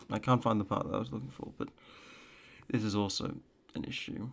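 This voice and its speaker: A man speaks quietly in a fairly low voice with vocal fry. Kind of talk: casual reaction commentary. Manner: quiet, low-energy.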